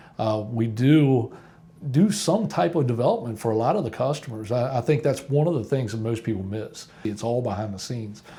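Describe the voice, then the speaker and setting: In an Appalachian accent, a man speaks with a medium-pitched, somewhat breathy voice and a dark, mellow tone. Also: ordinary pitch variation, fairly quick pace. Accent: Appalachian American. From West Virginia, US. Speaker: company employee. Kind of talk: documentary interview.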